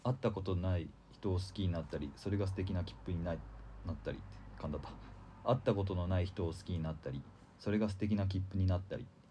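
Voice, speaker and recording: A man with a Kansai accent talks very fast in a very deep, low voice with a dark, mellow tone and vocal fry, with audible room echo. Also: ordinary pitch variation. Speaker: tanka poet. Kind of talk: casual chat. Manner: fast when excited.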